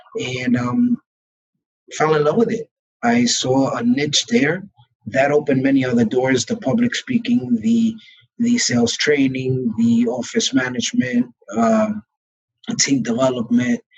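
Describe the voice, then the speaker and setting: In a Brooklyn accent, a man speaks at a medium pitch and fairly slow pace with ordinary pitch variation, very even loudness, and long, frequent pauses. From New York, Brooklyn. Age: 40s. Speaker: real estate broker. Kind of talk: interview.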